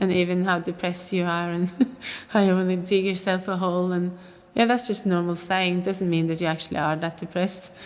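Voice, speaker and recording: This woman speaks with a Norwegian accent at medium pitch. Her delivery is fairly quick, with monotone, flat intonation. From Oslo, Norway. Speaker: actor. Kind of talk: interview answer.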